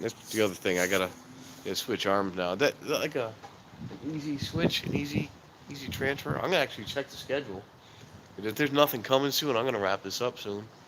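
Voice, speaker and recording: A man talks at a very fast pace with lively intonation. His speech breaks up with long, frequent pauses. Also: medium pitch for a man. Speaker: live streamer, train watcher. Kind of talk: casual live stream chat. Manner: rambling, casual, halting.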